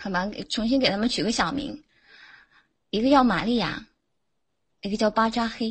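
Somewhat breathy and fairly high in pitch, a woman talks at a moderate pace with ordinary pitch variation and long, frequent pauses. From Jiangsu, China. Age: 20s. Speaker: caller. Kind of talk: casual chat. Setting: online voice chat room.

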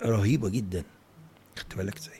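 This man's voice is fairly low in pitch, and he talks at a moderate pace. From Egypt, Cairo. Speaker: professor of Islamic art and architecture. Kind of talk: casual interview. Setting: home office. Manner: animated.

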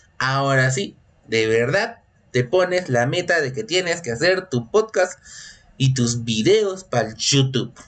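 A man speaks in an animated tone with lively intonation. His pitch is fairly high. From Peru. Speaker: podcast host. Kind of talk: casual solo monologue. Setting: home recording. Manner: animated, repetitive.

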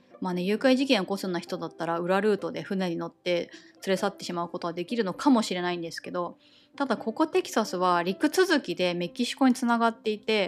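Lively intonation and a very fast pace from a woman at a medium pitch. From Japan. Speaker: podcast host, expat wife. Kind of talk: solo casual monologue. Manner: conversational, chatty.

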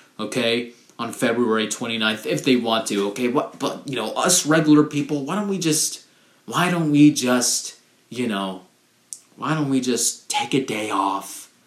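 At a fairly slow pace, a man talks with lively intonation. His pitch is medium. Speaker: solo podcast host. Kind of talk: casual monologue. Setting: home recording. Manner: hesitant, many fillers; rambling.

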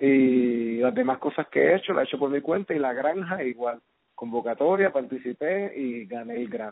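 Lively intonation marks this man's delivery. He speaks at a moderate pace and medium pitch. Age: 30s. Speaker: filmmaker. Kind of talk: casual interview. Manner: halting, many fillers.

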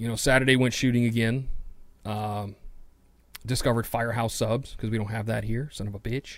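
A man with an American accent speaks in a monotone, flat way, leaving long, frequent pauses. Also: medium pitch for a man, fairly quick pace. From New York City. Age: adult, over 21. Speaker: podcast host. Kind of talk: casual solo monologue.

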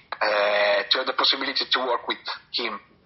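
Noticeable background noise runs behind this recording. A man speaks with an Italian accent. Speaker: metal band musician. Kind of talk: interview. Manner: halting.

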